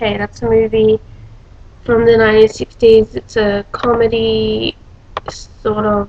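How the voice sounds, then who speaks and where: A woman with an Australian accent. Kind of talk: casual talk to camera.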